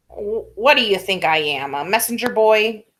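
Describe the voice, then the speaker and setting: A female-sounding voice puts on a character voice at a fairly high pitch. It has a rumbling quality. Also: moderate pace. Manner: grumbling, indignant.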